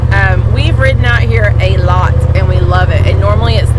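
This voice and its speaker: Someone with an American accent talks at a moderate pace. Noticeable background noise runs underneath. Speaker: RV camping vlogger. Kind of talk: casual vlog. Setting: outdoors on a UTV. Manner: loud.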